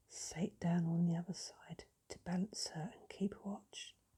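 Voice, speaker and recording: At a very slow pace, a woman speaks in a somewhat breathy, dark, mellow tone. Her medium pitch follows fairly even intonation. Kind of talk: sleep story. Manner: whispered, soft-spoken.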